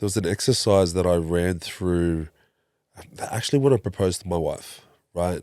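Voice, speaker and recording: With a very deep, low pitch and a dark, mellow tone, a man talks at a moderate pace with ordinary pitch variation in a very clean recording with a silent background. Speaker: breathwork facilitator. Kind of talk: interview.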